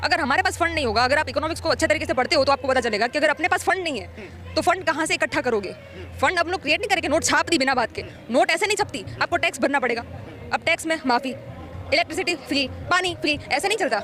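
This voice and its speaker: Over crowd noise in the background, a woman projects a raised voice at a high pitch, her tone animated and her intonation lively. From Gujarat, India. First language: Gujarati (speaking Hindi). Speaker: member of the public interviewed on the street. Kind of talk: street interview, political opinion. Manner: animated, argumentative.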